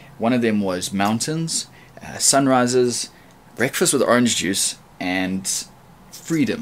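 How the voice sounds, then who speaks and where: A man speaks with a South African accent. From South Africa, Durban. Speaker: rapper. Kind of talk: audition video.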